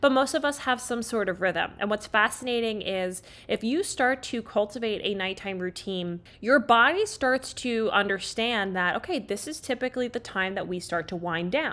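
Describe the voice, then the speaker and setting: Bright and sharp in tone, the animated voice keeps a moderate pace with lively intonation and hardly any pauses. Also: woman, fairly high pitch for a woman, very clean recording, silent background. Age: 20s. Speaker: holistic health coach and podcast host. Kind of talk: solo podcast monologue.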